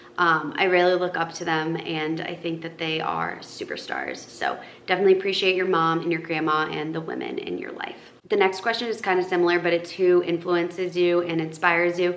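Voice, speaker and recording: A woman with an American accent, fairly low-pitched and monotone, flat in intonation, amid noticeable background noise and audible room echo. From northern Massachusetts. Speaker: lifestyle influencer. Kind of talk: casual Q&A vlog. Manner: casual, filler-heavy.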